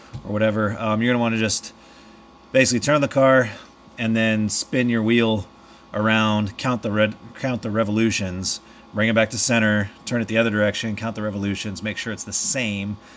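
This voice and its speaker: Fairly low and monotone, a man's voice moves at a fairly quick pace. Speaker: DIY car repair video maker. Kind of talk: tutorial. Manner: casual, with many fillers.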